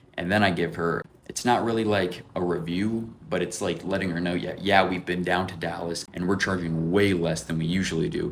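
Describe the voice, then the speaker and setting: A man with a very deep, low voice speaks in an animated tone at a fairly quick pace, with audible room echo. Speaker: window cleaning entrepreneur, vlogger. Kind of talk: vlog commentary. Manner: fast; casual, animated.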